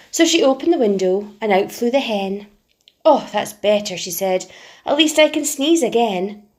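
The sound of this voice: An unforced reading voice with lively intonation comes through against a quiet background.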